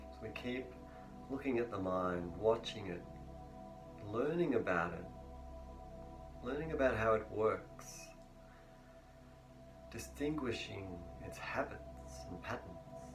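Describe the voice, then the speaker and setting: A man with a very deep, low pitch talks at a very slow pace, his pitch swinging very widely. Long, frequent pauses and noticeable background noise fill the clip. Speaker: meditation teacher. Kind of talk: guided meditation teaching. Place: home room. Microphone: lapel.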